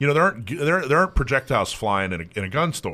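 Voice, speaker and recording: With an American accent, a man speaks at a fairly quick pace in a bright, sharp tone with vocal fry, his fairly high pitch making very wide swings, all on a very clean recording with a silent background. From US South. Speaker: radio host. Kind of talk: casual radio talk. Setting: radio studio. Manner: slurs words together.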